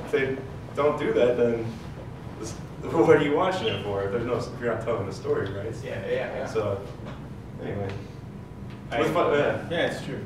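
A man speaks with long, frequent pauses, with noticeable background noise and audible room echo. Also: moderate pace. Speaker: guest. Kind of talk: panel discussion answer. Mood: relaxed, laughing. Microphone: camera far.

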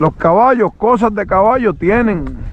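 A man speaks in an animated tone at a fairly slow pace. The sound is dry with no echo, over light background noise. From Puerto Rico. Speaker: horse trainer and video host; horse trainer, video host. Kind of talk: casual vlog narration while riding and training a horse. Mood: calm, relaxed, folksy. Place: open country. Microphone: phone near.

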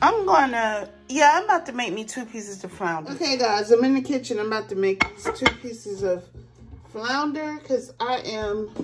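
Over clear music in the background, a woman speaks at a moderate pace with big swings in loudness. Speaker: home vlogger. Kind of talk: casual vlog chat. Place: kitchen. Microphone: phone near.

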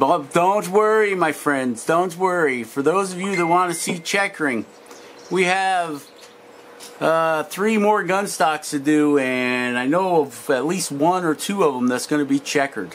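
Light background noise sits behind a man speaking at a fairly slow pace with ordinary pitch variation. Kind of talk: casual workshop vlog chat. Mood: relaxed, friendly. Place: workshop. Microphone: camera far.

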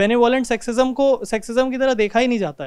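A man speaks at an extremely high pitch with ordinary pitch variation over a quiet background. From India. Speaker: audience member asking question; audience member. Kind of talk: question to speaker; audience question to speaker. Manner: halting. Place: hall. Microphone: handheld.

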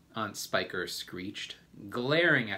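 A text is read aloud in a plain way.

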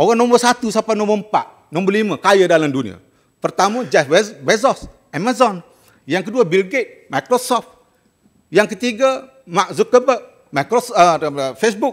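Against a quiet background, a man with a high-pitched voice speaks fairly slowly with lively intonation. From Malaysia. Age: 60s. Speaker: senator. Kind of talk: parliamentary debate speech. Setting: parliament chamber. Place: hall. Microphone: podium.

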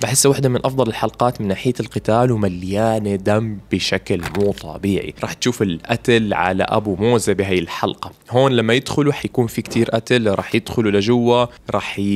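A man speaks with a fairly low pitch and ordinary pitch variation. He talks at a fast pace with few pauses.

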